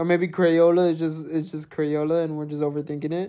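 His voice sits high in pitch. The man talks at a moderate pace. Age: 20s. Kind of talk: casual chat. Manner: joking, interrupts a lot.

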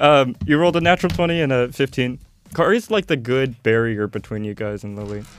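An ordinary speaking voice, a man at medium pitch with lively intonation and a fairly quick pace. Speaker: tabletop game master. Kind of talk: casual chat and tabletop roleplaying session.

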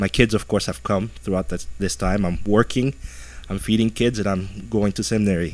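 Using vocal fry, a man with a fairly low voice talks at a moderate pace with ordinary pitch variation. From Ethiopia and Europe. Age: 40s. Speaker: missionary pastor. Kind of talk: testimony. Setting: radio studio.

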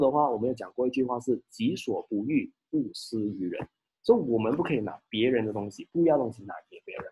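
This man has a medium-pitched voice. It sounds somewhat breathy. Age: 30s. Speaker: insurance agency leader giving talks. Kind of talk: online live talk / seminar. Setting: video call livestream.

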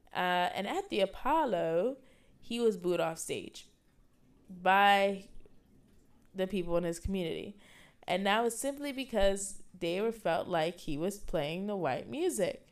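In a New York accent, a woman with medium pitch speaks fairly slowly in an animated tone with lively intonation and long, frequent pauses. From New York City, the Bronx. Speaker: student podcast host. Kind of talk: casual solo podcast talk.

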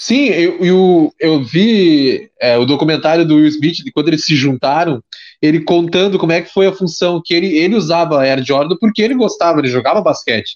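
A man's high-pitched voice with lively intonation and hardly any pauses. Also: moderate pace. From Pelotas, southern Brazil. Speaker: podcast host. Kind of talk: casual chat. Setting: video call.

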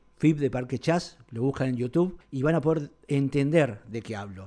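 A man with a dark, mellow tone and fairly high pitch talks at a moderate pace with ordinary pitch variation, on a very clean recording with a silent background. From Argentina. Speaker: festival organizer and poet. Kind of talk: poetry reading.

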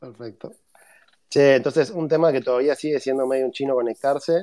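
This man speaks fairly quickly at a medium pitch, his intonation fairly even. His tone is dark and mellow. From Argentina. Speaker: podcast host. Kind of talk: interview. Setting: online audio room.

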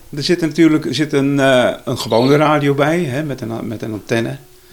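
A man's fairly high voice with ordinary pitch variation, over music in the background. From Zeeland, Zeelandic Flanders (IJzendijke). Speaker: retired journalist and photographer. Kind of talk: interview.

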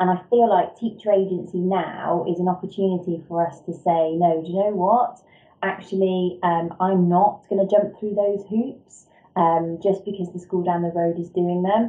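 A woman with an English accent talks at a moderate pace and medium pitch, with fairly even intonation. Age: 30s. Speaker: education leader, former deputy head teacher. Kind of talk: interview.

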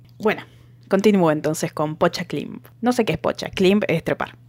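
A woman speaks at a moderate pace. She leaves long, frequent pauses. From Argentina, outside Buenos Aires. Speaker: podcast co-host. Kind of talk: casual chat.

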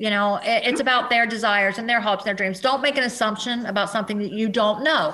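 A woman speaks at a very fast pace with hardly any pauses. Her intonation is fairly even. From US Midwest and South (Cincinnati, southern Indiana, Kentucky, Tennessee). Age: 40s. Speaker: adult film performer. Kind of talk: casual interview chat.

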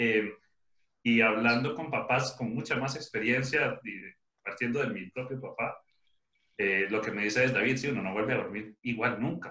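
Here a man speaks with a Costa Rican accent at a moderate pace. His pitch is medium, with fairly even intonation. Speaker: podcast host, father. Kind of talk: casual chat.

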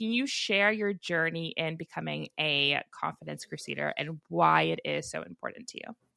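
A woman speaks at a moderate pace with hardly any pauses. The sound is dry and close, with no echo. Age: 30s. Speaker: podcast host. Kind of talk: interview. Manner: animated.

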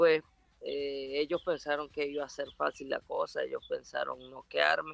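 Recorded dry and close with no echo, this is a man's voice. He speaks fairly slowly. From Venezuela, Ciudad Bolívar. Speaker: professional boxer. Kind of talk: interview. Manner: halting.

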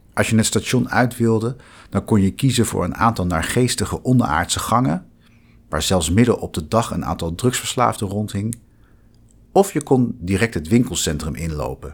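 On a very clean recording with a silent background, a man talks at a moderate pace with a fairly low pitch and vocal fry. His intonation is lively. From Netherlands, The Hague. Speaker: law lecturer. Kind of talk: scripted narration.

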